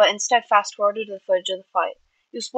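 Against a quiet background, the speaker does plain reading aloud with ordinary pitch variation.

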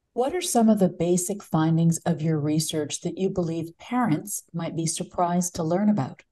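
This woman has a dark, mellow tone, somewhat breathy, at a fairly low pitch. She keeps a moderate pace with ordinary pitch variation. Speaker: interview show host. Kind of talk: interview. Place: home room. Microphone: studio mic.

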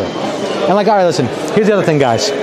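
A man with an American accent uses lively intonation amid audible room echo and noticeable background noise. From New York. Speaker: travel vlogger. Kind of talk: haggling; live stream walking vlog. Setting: outdoors and in market shops.

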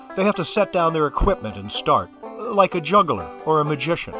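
A man's high-pitched voice at a fairly slow pace, with music in the background. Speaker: traveling show performer, magician and entertainer. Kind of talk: promotional pitch explaining entertainment types.

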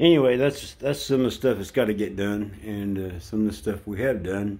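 A man's fairly low voice with a dark, mellow tone. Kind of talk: casual vlog chat. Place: bathroom. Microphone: phone near.

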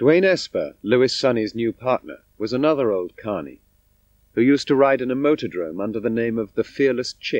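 In a normal speaking voice, a man talks at medium pitch and a moderate pace with lively intonation, the sound dry and close with no echo over a quiet background. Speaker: documentary narrator. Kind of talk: scripted narration.

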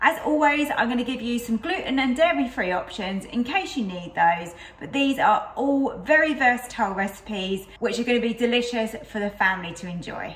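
A woman talks at a fairly quick pace with hardly any pauses, her voice high-pitched, and audible room echo surrounds the recording. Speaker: cooking channel host. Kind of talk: cooking tutorial chat. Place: kitchen.

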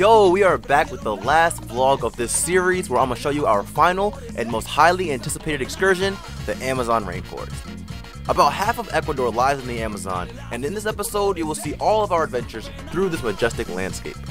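A man at a very fast pace with very wide pitch swings, dry sound with no echo, and music in the background. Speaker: vlog narrator. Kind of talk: vlog narration.

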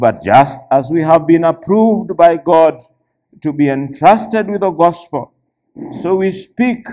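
A man's dark, mellow tone against a quiet background. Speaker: church elder preaching. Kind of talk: sermon scripture reading. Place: church.

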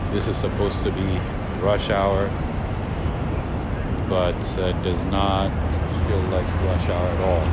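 A man at a fairly slow pace, with long, frequent pauses, loud background noise and a dry sound with no echo. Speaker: city walk vlogger. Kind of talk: casual vlog commentary. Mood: calm, observant. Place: street. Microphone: phone near.

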